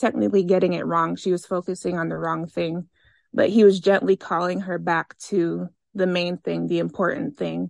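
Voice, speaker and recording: Talking in a normal speaking voice with an American accent, a woman keeps a medium pitch, moderate pace and fairly even intonation, with a dry, close sound, no echo and a quiet background. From Maryland. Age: 20s. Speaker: worship singer. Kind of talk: casual chat.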